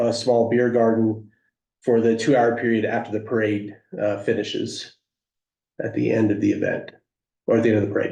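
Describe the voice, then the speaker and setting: In a room with audible echo, a man speaks at a moderate pace with a dark, mellow tone and monotone, flat intonation. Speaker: event organizer applying for a license. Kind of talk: public hearing testimony. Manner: halting, many fillers.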